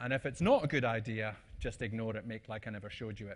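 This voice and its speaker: A man with a Scottish accent, medium pitch, at a very fast pace. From Scotland. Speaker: conference speaker. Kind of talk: presentation talk. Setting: stage with audience. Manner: casual, hesitant with fillers.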